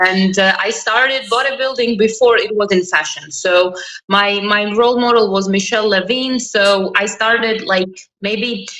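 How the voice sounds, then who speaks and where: In a room with audible echo, a woman with a fairly high pitch speaks at a moderate pace in a bright, sharp tone. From Croatia. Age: 20s. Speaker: interview guest. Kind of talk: interview. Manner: energetic.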